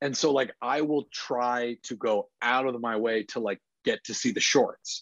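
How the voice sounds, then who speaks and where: A man with a plain, everyday voice speaks fairly slowly at a medium pitch with fairly even intonation, in a dry, close sound with no echo and a quiet background. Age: 30s. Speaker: film industry executive. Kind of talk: casual chat.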